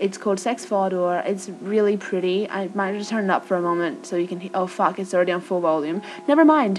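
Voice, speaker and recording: Over noticeable background noise, a woman with an American accent talks at a moderate pace in a medium pitch. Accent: Australian with American tinge. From Australia. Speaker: vlogger. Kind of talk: casual chat. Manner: informal, chatty.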